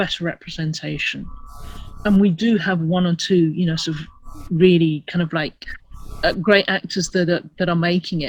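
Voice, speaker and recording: Somewhat breathy, a woman with a British accent speaks in a fairly low pitch. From England, first-generation immigrant from Asia. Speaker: actor, writer and activist. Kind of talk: interview. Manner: hesitant, many repetitions.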